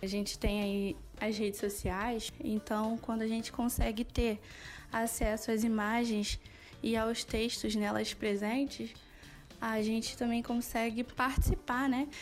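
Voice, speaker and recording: A woman at a fairly slow pace, fairly high in pitch with fairly even intonation, music in the background. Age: 30s. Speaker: social worker. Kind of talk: interview testimony.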